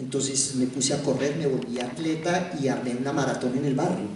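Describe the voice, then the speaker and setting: Speaking at a fairly slow pace with a Colombian accent, a man is heard over noticeable background noise, with audible echo in the room. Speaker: theatre director and actor. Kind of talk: public talk. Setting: university hall with audience.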